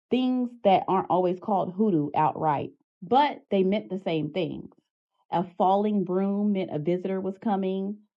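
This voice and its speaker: Speaking with an Arkansas accent, a woman uses a medium pitch, ordinary pitch variation and a moderate pace. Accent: Southern US (Arkansas). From Arkansas, USA. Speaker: hoodoo practitioner and educator. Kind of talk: educational talk to camera.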